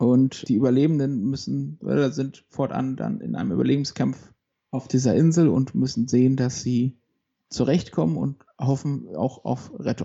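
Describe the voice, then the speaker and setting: With a normal speaking voice, a man speaks at a moderate pace and medium pitch, with lively intonation. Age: 30s. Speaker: podcast co-host, accountant. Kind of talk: casual chat.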